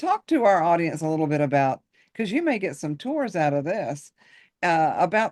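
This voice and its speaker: Against a quiet background, a woman with an unremarkable speaking voice and fairly low pitch talks at a moderate pace. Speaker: podcast host. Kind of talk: podcast interview host.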